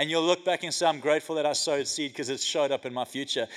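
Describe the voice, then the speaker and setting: A man talks in an animated tone. His pitch varies in an ordinary way. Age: 40s. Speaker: pastor. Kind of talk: sermon. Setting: church.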